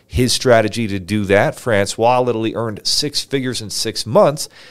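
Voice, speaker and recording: With an energetic tone, a man speaks at a moderate pace and fairly low pitch, using ordinary pitch variation. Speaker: podcast host, business funding entrepreneur. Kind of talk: solo podcast presentation. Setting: livestream studio. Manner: loud.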